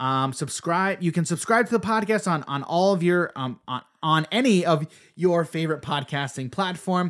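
Over a very clean recording with a silent background, a man uses a plain, everyday voice with lively intonation, a fairly high pitch and a moderate pace. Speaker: podcast host. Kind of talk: casual chat.

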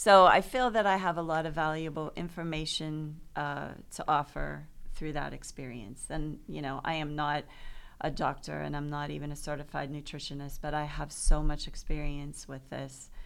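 In a room with audible echo, a woman with a very deep, low pitch speaks at a moderate pace, her pitch varying in an ordinary way while her loudness swings widely. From Pittsburgh, Pennsylvania. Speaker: author. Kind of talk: interview. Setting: studio.

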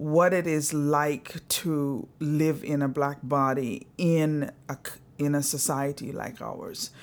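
Recorded very cleanly against a silent background, a woman speaks at a very deep, low pitch with a slight Antiguan accent. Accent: slight Caribbean (Antiguan). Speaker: social work professor. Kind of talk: interview conversation. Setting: home living room.

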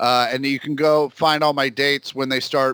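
A man speaks with an American accent in a bright, sharp tone. His intonation stays monotone and flat. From Kansas City. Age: 40s. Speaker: comedian. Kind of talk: casual chat.

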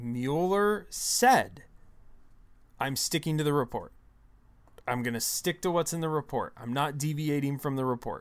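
On a very clean recording with a silent background, the speaker sounds animated at a moderate pace, with ordinary pitch variation and long, frequent pauses. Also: man, fairly high pitch for a man. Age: 30s. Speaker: political podcast co-host. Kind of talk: casual chat.

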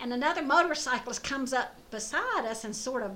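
With a Southern US accent and lively intonation, the voice comes through noticeable background noise and audible room echo. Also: woman. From US South (Louisiana, Georgia). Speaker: motorcyclist. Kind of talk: casual interview.

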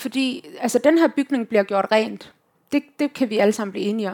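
In a very clean recording with a silent background, a woman speaks in an ordinary speaking voice at a fairly high pitch, with a moderate pace and ordinary pitch variation. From Denmark, Herning (West Jutland). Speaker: youth organisation leader and activist. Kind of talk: live panel conversation.

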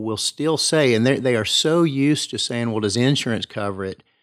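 An East Tennessee accent with ordinary pitch variation, dry and close with no echo, in a very clean recording over a silent background. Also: man. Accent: East Tennessee Southern US. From East Tennessee, Kingsport. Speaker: family physician. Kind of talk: interview.

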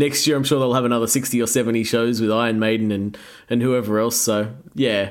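A man with an Australian accent talks at a fairly quick pace and medium pitch, his intonation fairly even and his loudness very even. Audible room echo surrounds his voice. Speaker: rock band musician. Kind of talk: casual interview chat. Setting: video call.

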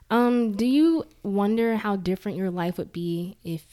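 Her tone is dark and mellow, with ordinary pitch variation. The recording is very clean, with a silent background. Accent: American. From Jackson, Mississippi. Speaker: podcast host. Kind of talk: casual interview.

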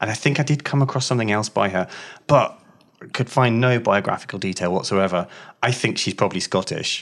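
In a very clean recording with a silent background, a man with a medium pitch and a normal speaking voice talks at a fairly quick pace with ordinary pitch variation. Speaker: magazine team member, co-host. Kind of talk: casual chat.

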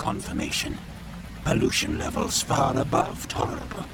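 A man's put-on character voice at medium pitch and moderate pace, with loud background noise. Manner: clipped, robotic, terse labels.

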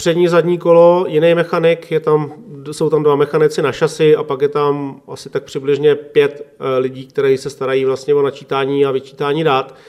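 A man speaks at a moderate pace in a fairly high pitch. He has a normal speaking voice with fairly even intonation. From Czech Republic, Klatovy area (West Bohemia). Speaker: motorcycle racing mechanic. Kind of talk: interview. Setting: home kitchen.

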